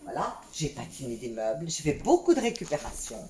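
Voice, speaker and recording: A woman at a fairly slow pace with very wide pitch swings, over noticeable background noise. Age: 60s. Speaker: vlogger. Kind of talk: home video tutorial. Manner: halting.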